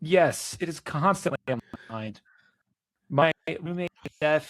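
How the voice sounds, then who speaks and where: A man with an unremarkable speaking voice speaks at a fairly slow pace in a fairly high pitch, with ordinary pitch variation and big swings in loudness, in a dry, close recording with no echo. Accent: American. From Florida, Cocoa. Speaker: political candidate. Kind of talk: interview.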